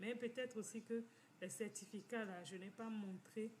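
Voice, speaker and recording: Noticeable background noise sits behind a woman who talks at a moderate pace with ordinary pitch variation. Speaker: financial community organizer. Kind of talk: informal talk, personal testimony. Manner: halting, many repetitions.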